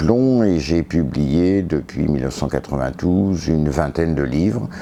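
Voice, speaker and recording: Against noticeable background noise, a man with a very deep, low voice speaks at a very slow pace. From northern France, Pas-de-Calais. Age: 60s. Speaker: historian and author. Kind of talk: interview. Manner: hesitant, many fillers.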